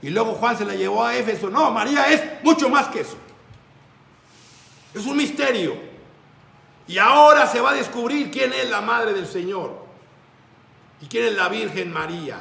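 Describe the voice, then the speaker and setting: With a raised, projected voice, a man speaks at a high pitch with very wide pitch swings and long, frequent pauses, amid noticeable background noise and audible room echo. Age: 60s. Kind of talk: religious talk.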